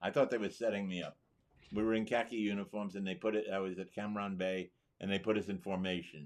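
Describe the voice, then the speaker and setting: A man with a New York accent talks very fast in a fairly low voice, his intonation fairly even over a quiet background. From New York City. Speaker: war veteran. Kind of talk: interview.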